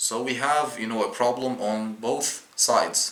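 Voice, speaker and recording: A man with a non-native accent speaks at a very slow pace with fairly even intonation, over noticeable background noise and with audible room echo. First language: not English. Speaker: YouTuber explaining Islam. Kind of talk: casual video explainer. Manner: halting, many fillers and restarts.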